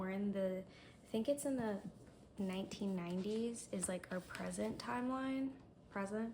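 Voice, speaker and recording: Medium pitch from a woman, noticeable background noise behind her. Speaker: booktuber. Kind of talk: reading vlog. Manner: hesitant, filler-heavy.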